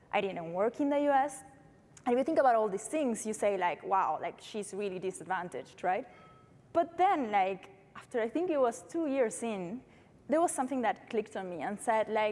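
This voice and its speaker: A woman with a Uruguayan accent, fairly high in pitch, with very wide pitch swings at a moderate pace. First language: Spanish. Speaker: startup founder. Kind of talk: panel discussion.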